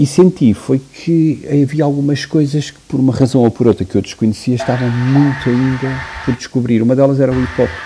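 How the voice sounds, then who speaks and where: Fairly quick delivery with hardly any pauses, fairly even intonation, big swings in loudness and noticeable background noise. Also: man, medium pitch for a man. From Portugal, Porto. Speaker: music producer and DJ. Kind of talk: interview. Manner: halting.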